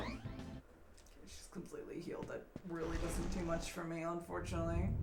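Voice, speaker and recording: A woman talks at a fairly quick pace. Music plays in the background, and there is audible room echo. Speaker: video game streamer. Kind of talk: casual gameplay commentary. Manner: casual, hesitant with fillers.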